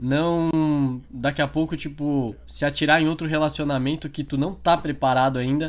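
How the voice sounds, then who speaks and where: Against a quiet background, a man with a normal speaking voice talks at a fairly slow pace in a fairly high pitch, his intonation fairly even. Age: 20s. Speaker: podcast co-host. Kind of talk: casual chat.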